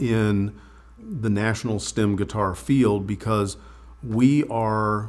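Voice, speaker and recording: A man speaking at a very slow pace. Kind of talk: interview answer. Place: workshop. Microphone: lapel.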